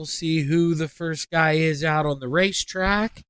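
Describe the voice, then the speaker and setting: A man speaks loudly with fairly even intonation. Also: dry, close sound with no echo. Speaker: sim racing commentator. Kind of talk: live commentary. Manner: normally loud.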